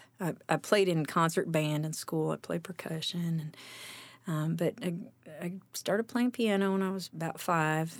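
A woman's fairly low-pitched voice at a moderate pace, with ordinary pitch variation, on a very clean recording with a silent background. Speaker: singer-songwriter and pianist. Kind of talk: casual interview chat. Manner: halting, hesitant.

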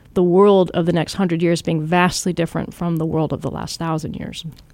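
A woman with a West Coast US accent talks at a fairly quick pace and a fairly low pitch. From US West Coast, Washington State. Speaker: archaeologist. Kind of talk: interview.

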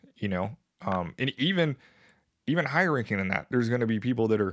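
In an American accent and an ordinary speaking voice, a man talks fairly quickly at medium pitch with lively intonation, on a very clean recording with a silent background. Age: 30s. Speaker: military veteran. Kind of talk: casual chat.

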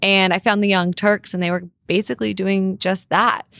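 A woman speaks at a fairly quick pace with a General American accent, medium pitch and a normal speaking voice. The sound is dry and close, with no echo. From US West Coast, Los Angeles. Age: 20s. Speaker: political commentator and online show host. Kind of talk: casual chat. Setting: studio.

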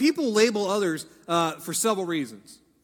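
A man with an American accent speaks at a fairly slow pace, his intonation lively. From Ohio. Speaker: pastor. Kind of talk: sermon.

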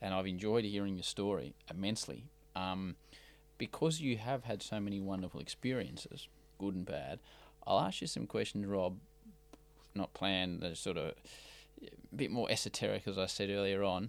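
A man with an Australian accent at a moderate pace, with ordinary pitch variation and long, frequent pauses. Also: fairly low pitch for a man. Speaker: podcast host. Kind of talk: interview conversation. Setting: studio in Melbourne.

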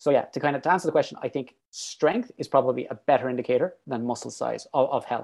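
A man with an Irish accent and a fairly high pitch talks at a very fast pace. He leaves hardly any pauses, and his pitch variation is ordinary. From Ireland. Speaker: PhD researcher and fitness coach. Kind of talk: casual chat.

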